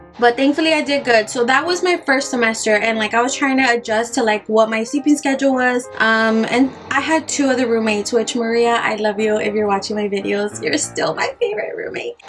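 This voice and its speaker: A fairly high-pitched woman, fairly quick with hardly any pauses, amid noticeable background noise. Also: ordinary pitch variation. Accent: slight Spanish. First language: Spanish. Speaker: beauty vlogger. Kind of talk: casual get-ready-with-me storytelling.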